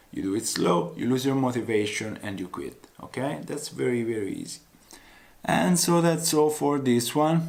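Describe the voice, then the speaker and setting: Audible room echo surrounds a man speaking at medium pitch with lively intonation. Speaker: weight loss vlogger. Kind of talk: motivational vlog talk. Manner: slow.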